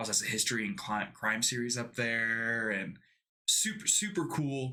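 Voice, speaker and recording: A man with a medium pitch and a bright, sharp tone talks at a moderate pace with ordinary pitch variation. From Texas. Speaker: podcast co-host. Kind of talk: casual chat.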